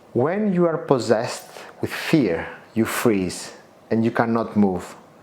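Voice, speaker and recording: A fairly slow delivery in a non-native accent, with noticeable background noise. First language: not English. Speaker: motivational coach and author. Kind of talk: guided self-help lesson. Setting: outdoors at the Acropolis in Athens.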